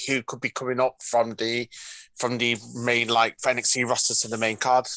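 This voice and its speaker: Heard dry and close with no echo, a man's voice has a bright, sharp tone at a medium pitch. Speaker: caller. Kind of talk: casual chat. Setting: video call.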